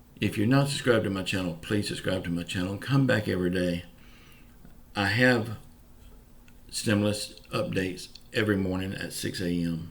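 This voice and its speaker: A fairly low-pitched man with a Southern US accent, long, frequent pauses, and audible room echo. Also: ordinary pitch variation, moderate pace. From US South, Pensacola, Florida. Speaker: YouTuber giving news updates. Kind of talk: casual vlog monologue. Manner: informal, folksy.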